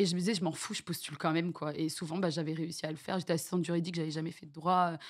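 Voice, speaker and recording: A woman with a fairly low pitch at a very fast pace, monotone and flat in intonation, on a very clean recording with a silent background. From France, with childhood years in Venezuela and French Guiana. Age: 30s. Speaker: streamer. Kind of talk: interview. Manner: halting.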